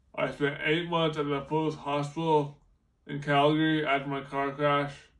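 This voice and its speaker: Audible room echo surrounds a man whose fairly high voice stays monotone and flat. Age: 20s. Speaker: car crash survivor, motivational speaker. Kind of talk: prepared presentation to students. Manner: halting, repeats and restarts words; slow, effortful.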